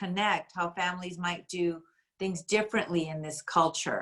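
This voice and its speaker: A woman talks at a medium pitch. Her intonation stays fairly even. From USA, Spanish-speaking home. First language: Spanish. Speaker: school administrator, workshop moderator. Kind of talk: parent workshop discussion.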